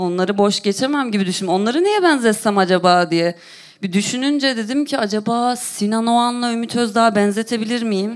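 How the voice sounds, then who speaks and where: Fairly quick woman's voice, fairly high in pitch, with ordinary pitch variation. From Turkey, Konya. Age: 30s. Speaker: comedian. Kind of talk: stand-up. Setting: stage with audience.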